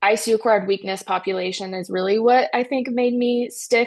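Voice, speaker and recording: With a slight North Carolina accent, a woman speaks at a moderate pace in a fairly high pitch. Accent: slight Southern US (North Carolina). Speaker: critical care physical therapist. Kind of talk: interview.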